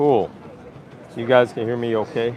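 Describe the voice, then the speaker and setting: Against noticeable background noise, a man with a New York accent speaks at a moderate pace and medium pitch. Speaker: travel vlogger. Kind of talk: live stream walking tour. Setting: outdoors on a busy street. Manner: loud; animated.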